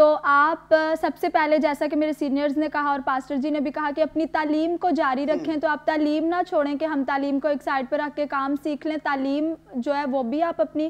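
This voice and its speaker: A woman with a high pitch speaks at a moderate pace in a monotone, flat intonation, hardly pausing at all. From Peshawar, Pakistan; Pakistan. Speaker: video editor; TV guest. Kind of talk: interview. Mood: warm, earnest. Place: studio. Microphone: lapel.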